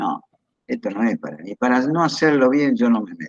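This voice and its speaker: A man with an Argentine accent at a moderate pace, in a dry, close sound with no echo. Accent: Argentine Spanish (voseo). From Argentina, Entre Ríos. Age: 70s. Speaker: retired pediatric surgeon. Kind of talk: interview. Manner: hesitant, with repetitions.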